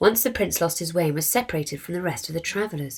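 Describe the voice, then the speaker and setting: A woman with a plain, everyday voice speaks at a fairly low pitch with ordinary pitch variation on a very clean recording with a silent background. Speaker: charity co-founder. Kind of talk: children's story reading.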